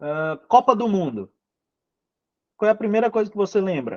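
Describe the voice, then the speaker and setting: Lively intonation marks this man's speech. No echo is heard, the sound dry and close. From Manaus, Brazil. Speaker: English teacher. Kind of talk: online lecture (live class). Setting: live video class.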